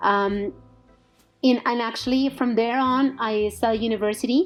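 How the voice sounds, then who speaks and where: A woman with a Colombian accent talks at a moderate pace with ordinary pitch variation while music plays in the background. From Bogota, Colombia. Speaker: entrepreneur and recruitment business owner. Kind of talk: interview.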